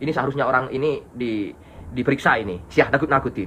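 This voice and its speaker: A man speaks with a Madurese accent. His pace is very fast. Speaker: political commentary YouTuber. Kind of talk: casual commentary to viewers.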